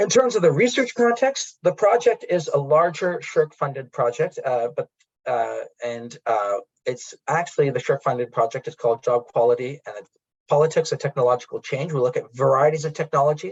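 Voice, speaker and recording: A man's fairly quick speech is captured with a dry, close sound and no echo. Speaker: academic researcher. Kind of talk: conference presentation. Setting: conference with interpreter. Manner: fast; halting.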